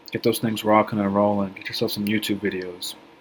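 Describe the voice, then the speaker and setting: The speech moves at a very fast pace. Noticeable background noise is audible throughout. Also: man. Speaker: SEO consultant. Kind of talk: screen-share tutorial. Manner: casual, filler-heavy.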